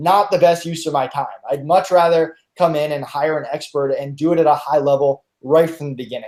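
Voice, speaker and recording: A fairly quick delivery with fairly even intonation. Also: man, fairly high pitch for a man. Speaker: freelance marketplace representative. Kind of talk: webinar. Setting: live online webinar. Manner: fast.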